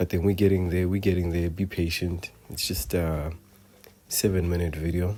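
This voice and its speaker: The speech keeps a moderate pace and fairly even intonation. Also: man, very deep, low pitch for a man. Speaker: DIY woodworking vlogger. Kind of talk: voiceover narration of build video. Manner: monotone; hesitant, many fillers.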